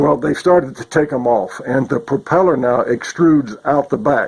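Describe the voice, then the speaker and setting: Over noticeable background noise, a man talks at a fairly slow pace with a fairly high pitch and ordinary pitch variation. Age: 70s. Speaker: paramotor pilot. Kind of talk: casual vlog monologue. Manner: casual, halting with restarts.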